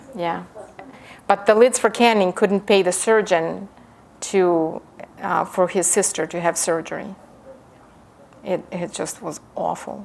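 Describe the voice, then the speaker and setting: With a Ukrainian accent, a woman at medium pitch speaks at a fairly slow pace with long, frequent pauses. Her intonation stays fairly even, with vocal fry. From Ukraine. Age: 50. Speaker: professor. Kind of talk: lecture with reading aloud.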